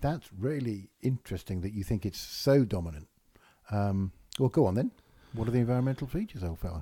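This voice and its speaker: A man speaks at a fairly quick pace with lively intonation. His medium-pitched voice is somewhat breathy. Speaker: business consultant and comedian. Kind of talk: casual chat.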